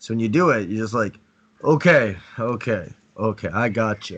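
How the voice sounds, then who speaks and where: At a fairly slow pace, a man speaks at a medium pitch. His pitch varies in an ordinary way. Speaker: dating coach. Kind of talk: online class. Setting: video call. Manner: halting, repeats words; slow, strong demonstration voice.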